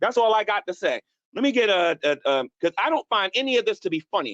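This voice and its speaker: Shouting at a very fast pace, a man's high-pitched voice comes through dry and close, with no echo. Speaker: YouTube streamer. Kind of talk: heated rant on live stream. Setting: live stream. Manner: loud, yelling; repetitive, stammering.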